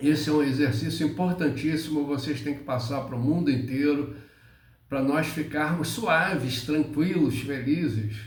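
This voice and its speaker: A man speaks at a fairly slow pace in a fairly high voice with ordinary pitch variation. Audible room echo surrounds his voice. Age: 70s. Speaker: spiritual teacher. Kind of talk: spiritual monologue. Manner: halting.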